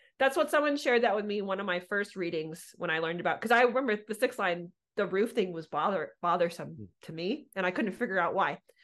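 A woman's animated, very fast speech at medium pitch with lively intonation and a quiet background. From Southern California. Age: 40s. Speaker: podcast host. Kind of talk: casual chat.

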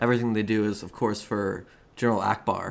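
Here is a man with a normal speaking voice and a fairly low pitch. He talks at a moderate pace. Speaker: podcast co-host. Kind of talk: casual chat, joking.

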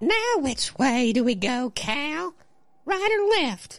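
A man's put-on character voice at an extremely high pitch, very slow in pace, with very wide pitch swings. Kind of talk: comic falsetto play-acting by a man. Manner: nagging, uneasy.

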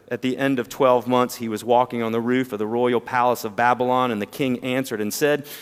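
Here a man talks at medium pitch with a slight Southern US accent. His intonation is fairly even. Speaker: preacher. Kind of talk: sermon. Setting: church.

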